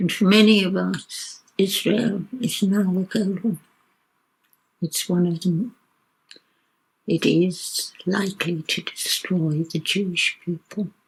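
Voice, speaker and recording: Somewhat breathy and medium-pitched, a woman talks very slowly with fairly even intonation and long, frequent pauses. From South Africa, Cape Town. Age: 80s+. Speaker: retired social worker and activist. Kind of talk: documentary interview.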